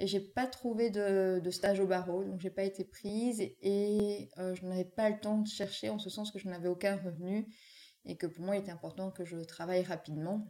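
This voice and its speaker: A woman talks at a moderate pace. Her medium pitch stays in a monotone, flat intonation. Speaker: wedding photographer. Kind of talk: casual interview. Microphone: sound problem during recording.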